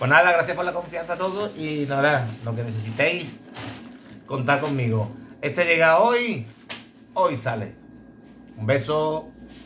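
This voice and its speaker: A man with a fairly high pitch talks at a fairly slow pace, with lively intonation and long, frequent pauses. Light background noise runs underneath. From Andalusia, Bay of Cádiz. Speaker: blade sharpener for dog grooming clippers. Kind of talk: casual tutorial video. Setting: workshop. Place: workshop. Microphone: phone near.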